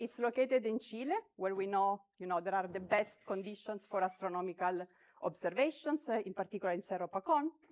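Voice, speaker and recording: Using lively intonation, a woman speaks at medium pitch. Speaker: astronomer. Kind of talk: conference talk. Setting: conference hall with audience. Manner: loud; hesitant, many fillers.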